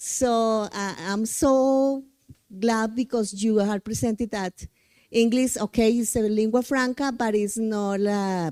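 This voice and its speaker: A woman in a Spanish accent, fairly high-pitched with a dark, mellow tone, fairly even intonation and a very slow pace, in a very clean recording with a silent background and a dry, close sound with no echo. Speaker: English teacher, audience member. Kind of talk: audience comment at conference. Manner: halting.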